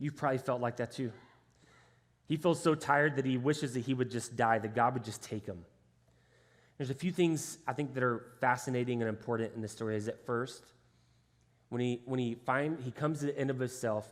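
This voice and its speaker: A man with a Texan accent speaks at medium pitch in an animated tone. His pace is fairly quick, broken by long, frequent pauses. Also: ordinary pitch variation. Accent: Texan American English. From Texas, Houston area. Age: 30s. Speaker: pastor. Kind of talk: sermon. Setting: church stage with congregation. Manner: animated, conversational.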